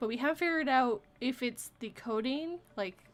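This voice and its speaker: With a Canadian accent, a woman speaks at a high pitch with ordinary pitch variation. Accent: Canadian accent, shows on some words. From Vancouver area, British Columbia, Canada. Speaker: live stream chat host. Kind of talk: casual chat. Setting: live stream.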